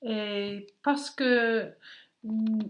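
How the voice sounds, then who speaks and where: A woman with an English accent speaks over a quiet background. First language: English (speaking French). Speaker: aerospace employee, French learner. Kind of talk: interview. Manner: halting.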